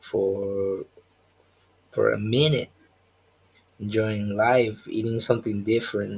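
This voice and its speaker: Somewhat breathy and fairly low, a man's voice moves at a fairly slow pace with long, frequent pauses and flat, monotone intonation. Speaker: comic artist and live streamer. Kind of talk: casual live stream monologue.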